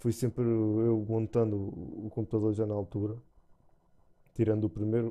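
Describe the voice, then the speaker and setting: With a European Portuguese accent, a man speaks at a moderate pace in a fairly low, dark and mellow voice, monotone and flat, with long, frequent pauses. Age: 30s. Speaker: gaming YouTuber. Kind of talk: channel introduction monologue. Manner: halting, many fillers and repetitions.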